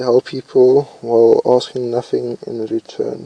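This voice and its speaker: At a very slow pace, a man speaks with a dry, close sound and no echo. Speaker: YouTuber. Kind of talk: commentary while reading test questions aloud. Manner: loud; hesitant, with fillers and restarts.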